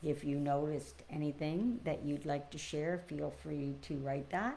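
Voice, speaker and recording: A fairly slow-paced woman amid audible room echo. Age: 60s. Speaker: spiritual teacher. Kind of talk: spiritual reflection livestream. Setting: live stream. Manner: hesitant, many fillers.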